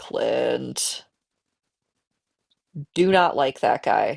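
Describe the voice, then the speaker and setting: A woman's voice over a quiet background. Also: dry, close sound with no echo. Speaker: game streamer. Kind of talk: casual live-stream gameplay commentary. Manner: chatty, rambling.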